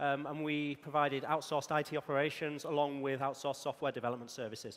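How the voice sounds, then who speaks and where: With a Yorkshire accent, a man speaks very fast at a fairly high pitch. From northern England, Yorkshire. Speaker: conference speaker, technical evangelist. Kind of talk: conference talk. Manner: frequent filler ums.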